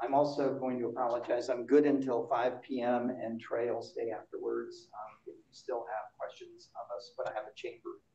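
In audible room echo, a man speaks at a moderate pace with few pauses. His medium-pitched voice has a dark, mellow tone and little pitch movement.

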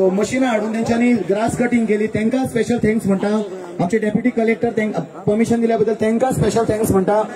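Against noticeable background noise, a man speaks in a high pitch with monotone, flat intonation and very even loudness. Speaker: event announcer. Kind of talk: rally compering.

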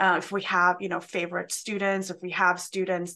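This woman's tone is bright and sharp, and she speaks with a Swedish accent. Her pace is moderate. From Sweden. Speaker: college instructor. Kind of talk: presentation. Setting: video call. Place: home room.

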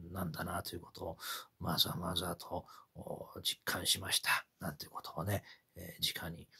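Someone whispers at a moderate pace. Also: man. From Japan. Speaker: kabuki commentator. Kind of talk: personal reflection monologue. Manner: halting, many fillers. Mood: reflective, calm. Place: home room. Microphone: phone near.

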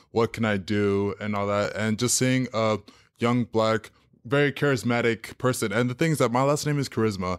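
In a very clean recording with a silent background and a dry, close sound with no echo, a man speaks at medium pitch and a moderate pace with ordinary pitch variation. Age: 20s. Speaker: television production worker and fitness trainer. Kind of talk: casual interview. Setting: studio. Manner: halting.

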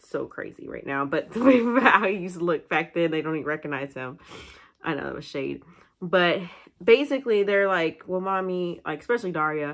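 Against a quiet background, a woman speaks at a fairly quick pace with lively intonation and big swings in loudness. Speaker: single mother vlogger. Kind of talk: casual vlog chat. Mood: candid, occasionally laughing. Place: home room. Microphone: phone near.

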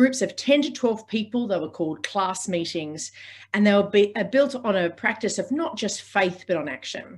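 A woman with an Australian accent speaks in a somewhat breathy voice with lively intonation against a quiet background. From Sydney, Australia. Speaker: organiser, podcast host. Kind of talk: lecture. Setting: video call. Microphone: video call.

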